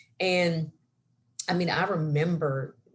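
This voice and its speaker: This woman's voice is somewhat breathy. Her pitch sits very deep and low. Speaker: science center program director, former chemistry teacher. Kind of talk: career talk interview. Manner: animated.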